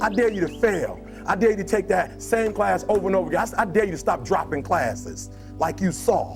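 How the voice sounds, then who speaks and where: The talker keeps up a fairly quick pace while music runs underneath. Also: man. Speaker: motivational speaker. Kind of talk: motivational speech to a live audience. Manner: passionate, emphatic.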